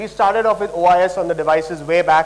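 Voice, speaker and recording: A man talking fairly quickly in a high voice over noticeable background noise. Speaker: product presenter. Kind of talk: product launch presentation. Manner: fast.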